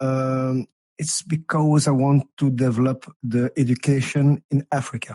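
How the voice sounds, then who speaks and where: Dry and close with no echo, a man's dark, mellow voice at a medium pitch comes in a non-native accent, fairly slow and flat in monotone. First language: not English. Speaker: community participant. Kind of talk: panel discussion. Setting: virtual reality meeting. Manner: halting.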